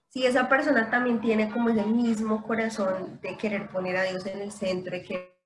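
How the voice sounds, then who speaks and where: This woman's voice is fairly high, with ordinary pitch variation. She talks at a moderate pace, and room echo is audible. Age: 30s. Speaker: English instructor. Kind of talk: casual chat.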